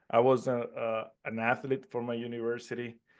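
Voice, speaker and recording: Against a quiet background, a man with a Puerto Rican accent talks fairly slowly at a medium pitch, his intonation monotone and flat. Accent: own accent, Puerto Rican Spanish. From Puerto Rico, mountains. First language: Spanish. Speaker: network marketing entrepreneur. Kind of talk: interview. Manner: halting, many repetitions and fillers.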